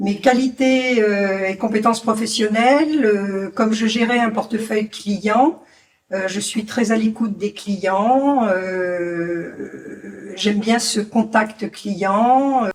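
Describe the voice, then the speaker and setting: A woman speaking very slowly at a fairly high pitch, ordinary pitch variation, over noticeable background noise. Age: 60s. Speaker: job seeker, former banker. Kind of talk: interview self-presentation.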